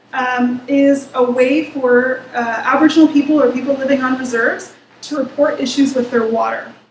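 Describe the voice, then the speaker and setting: Audible room echo carries a woman's high-pitched voice. Her intonation is monotone and flat. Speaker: researcher presenting a report. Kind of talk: presentation. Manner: fast.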